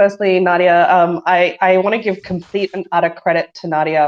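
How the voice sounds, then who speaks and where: A woman speaks at a medium pitch with an Australian accent. Her pace is fairly quick. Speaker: engineering director. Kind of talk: casual chat. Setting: online audio room.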